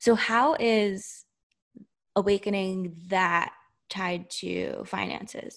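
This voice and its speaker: Against a quiet background, a woman with a normal speaking voice talks at medium pitch with fairly even intonation. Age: 30s. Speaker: podcast host. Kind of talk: casual chat.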